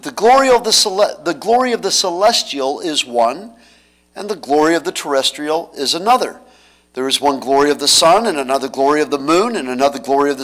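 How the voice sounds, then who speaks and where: The setting is quiet. A man talks at a fairly quick clip. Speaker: pastor. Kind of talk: scripture reading in a sermon. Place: church. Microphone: podium.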